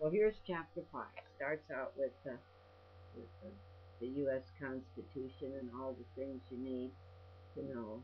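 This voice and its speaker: With a very deep, low pitch, very wide pitch swings and big swings in loudness, a woman speaks at a fairly slow pace with long, frequent pauses. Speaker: storyteller. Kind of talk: casual talk to camera.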